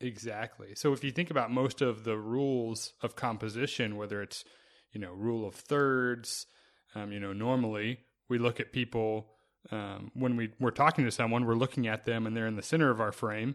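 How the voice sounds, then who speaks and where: A plain, everyday voice moves at a moderate pace with fairly even intonation. The recording is very clean, with a silent background. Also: man, medium pitch for a man. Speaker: podcast host and wedding filmmaker. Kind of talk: casual interview chat.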